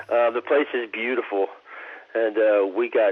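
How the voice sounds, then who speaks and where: With a Texan accent, this man talks at medium pitch using lively intonation. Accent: Texan American. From Texas. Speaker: actor. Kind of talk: interview answer. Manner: calm.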